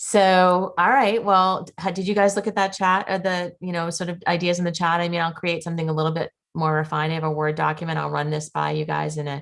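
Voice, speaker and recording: A woman's fairly low voice in a Boston accent, at a very fast pace with hardly any pauses and fairly even intonation. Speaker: school committee member chairing subcommittee. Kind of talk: public meeting discussion.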